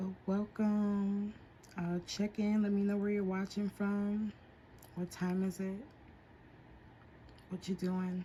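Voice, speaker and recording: A woman's somewhat breathy voice with an American accent, very slow and monotone, with flat intonation and long, frequent pauses. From Whittier, California. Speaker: nail artist. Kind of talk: livestream tutorial. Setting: at home. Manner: casual.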